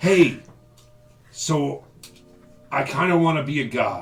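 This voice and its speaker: Over faint music in the background, a man uses a raspy, put-on character voice at a fairly high pitch and a fairly slow pace. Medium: actual play. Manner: casual, bragging.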